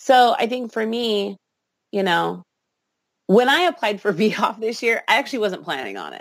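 A woman's fairly high voice with vocal fry and lively intonation, at a moderate pace broken by long, frequent pauses, on a very clean recording with a silent background. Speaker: burlesque performer and singer. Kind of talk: interview.

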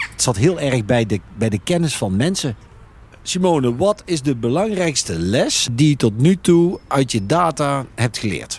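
A man speaks at a medium pitch and a fairly slow pace. His voice is somewhat breathy, with very wide pitch swings. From Netherlands, North Brabant (Veghel). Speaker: retail chain executive. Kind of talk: casual discussion. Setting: outdoors at a farm picnic table.

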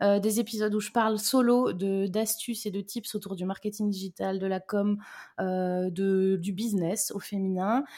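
A woman's medium-pitched voice with a dark, mellow tone, fairly slow and fairly even in intonation, in a very clean recording with a silent background. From Brittany, France. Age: 30s. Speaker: mother and business owner. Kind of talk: casual interview chat.

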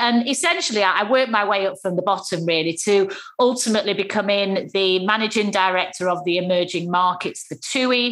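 Here a woman speaks with a Manchester accent. Her pace is moderate and her pitch varies in an ordinary way. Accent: Mancunian, northern English. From Manchester, northern England. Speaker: former travel CEO turned entrepreneur. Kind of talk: casual interview conversation. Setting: video call (Zoom). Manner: lively, down to earth.

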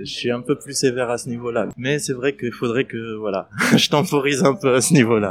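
A man's voice shows big swings in loudness against noticeable background noise. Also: medium pitch for a man, ordinary pitch variation. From Palestine, Middle East. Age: 30s. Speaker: restaurant entrepreneur. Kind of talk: interview testimony. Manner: hesitant, many fillers.

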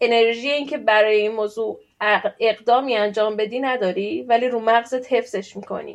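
A woman with an unremarkable speaking voice talks fairly quickly at a fairly high pitch, her intonation fairly even. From Iran. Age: 30s. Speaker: PhD student. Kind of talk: interview.

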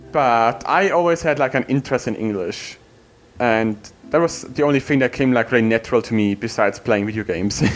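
Someone with a German accent talks at a fairly quick pace with ordinary pitch variation. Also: man, medium pitch for a man. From Germany. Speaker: window cleaner. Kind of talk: casual chat.

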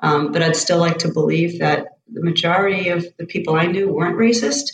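Her pitch is fairly low for a woman. She talks at a moderate pace with fairly even intonation. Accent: Boston. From South Boston, Massachusetts. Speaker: college running coach. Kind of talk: interview conversation.

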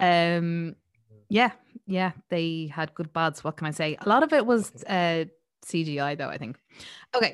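Speaking at a fairly slow pace with long, frequent pauses, a woman with an Irish accent uses a fairly low pitch and ordinary pitch variation against a quiet background. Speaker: podcast host. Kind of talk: casual chat. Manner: animated.

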